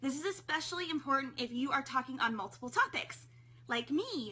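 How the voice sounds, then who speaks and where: Pitch swings very widely here. The voice comes across raised and projected. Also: woman. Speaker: periscope broadcaster teaching tips. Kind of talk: live stream tips talk. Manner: fast.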